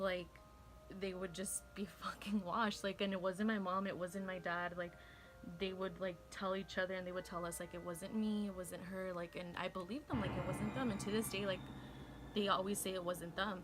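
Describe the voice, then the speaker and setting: Against music in the background, the speech moves at a moderate pace with monotone, flat intonation. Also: woman, medium pitch for a woman. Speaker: YouTuber, beauty vlogger. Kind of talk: casual get-ready-with-me story time. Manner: casual, filler-heavy.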